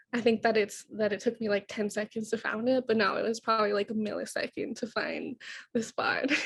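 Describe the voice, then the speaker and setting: A woman with a fairly high pitch speaks fairly quickly in a somewhat breathy, flat monotone, recorded dry and close with no echo. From Siksika First Nation, Alberta, Canada. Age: 20s. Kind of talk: presentation in a sharing circle. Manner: shaky voice when public speaking.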